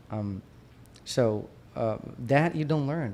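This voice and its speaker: A man speaks with a Brazilian Portuguese accent and a dark, mellow tone. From Brazil, Minas Gerais. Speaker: periodontist. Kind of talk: casual interview. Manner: halting, many restarts.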